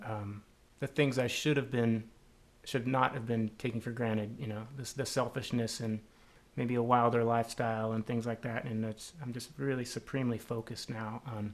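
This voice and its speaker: A man with an American accent, medium-pitched, at a moderate pace and with fairly even intonation. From Southern California. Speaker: drummer and interview host. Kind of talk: casual interview. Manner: halting, many fillers.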